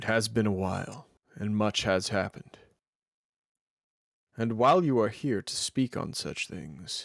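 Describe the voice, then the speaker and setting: A man puts on a character voice at a medium pitch, speaking at a moderate pace. Long, frequent pauses break up his lines on a very clean recording with a silent background. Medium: actual play. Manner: formal, measured.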